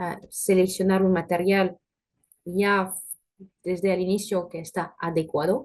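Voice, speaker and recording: A woman speaks very slowly with a medium pitch. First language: French (speaking Spanish). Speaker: food industry technical specialist. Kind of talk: webinar presentation with Q&A. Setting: online webinar. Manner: hesitant, frequent filler sounds.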